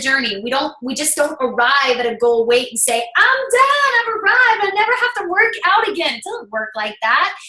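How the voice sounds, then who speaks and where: A woman projects a raised voice with very wide pitch swings. Noticeable background noise is present. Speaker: fitness business coach. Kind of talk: sales pitch. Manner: fast.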